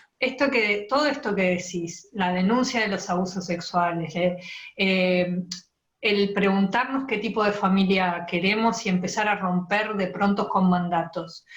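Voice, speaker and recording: In a Rioplatense accent, a woman speaks at a fairly slow pace and a medium pitch. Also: ordinary pitch variation. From Montevideo, Uruguay. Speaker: interviewer, writer. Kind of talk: interview question.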